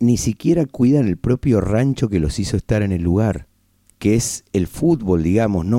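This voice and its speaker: Fairly low in pitch with a dark, mellow tone, a man speaks fairly slowly while his pitch swings very widely. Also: dry, close sound with no echo. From Argentina, Buenos Aires. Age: 50s. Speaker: radio host. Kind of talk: casual radio monologue. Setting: radio studio.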